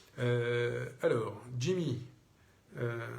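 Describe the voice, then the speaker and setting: A somewhat breathy man's voice with ordinary pitch variation and audible room echo. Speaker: mayor answering citizens' questions. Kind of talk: live Q&A broadcast. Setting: Facebook live video. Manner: hesitant, many fillers.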